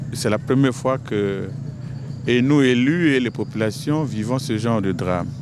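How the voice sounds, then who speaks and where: A man speaks at a fairly slow pace with a medium pitch and ordinary pitch variation. Noticeable background noise runs underneath. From Republic of the Congo, Ngabé district. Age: 60s. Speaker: member of parliament. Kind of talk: interview statement.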